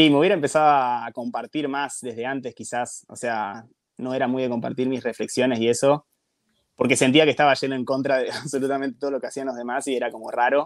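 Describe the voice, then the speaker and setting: Talking at a very fast pace, a man keeps his medium-pitched voice in fairly even intonation. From Argentina. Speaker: podcaster, guest on another podcast. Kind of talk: casual chat.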